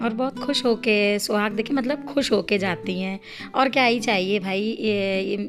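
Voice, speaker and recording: Music plays in the background as a woman speaks quietly. Her pitch is fairly high. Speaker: vlogger, housewife. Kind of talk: vlog voice-over narration. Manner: quiet, subdued.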